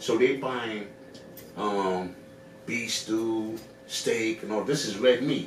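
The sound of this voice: Audible room echo surrounds a man who speaks slowly at a fairly low pitch. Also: ordinary pitch variation.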